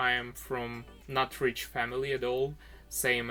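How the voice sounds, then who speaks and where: Over music in the background, a man with a Ukrainian accent speaks at a medium pitch in a monotone, flat intonation. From Ukraine. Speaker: craft youtuber. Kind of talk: personal vlog narration.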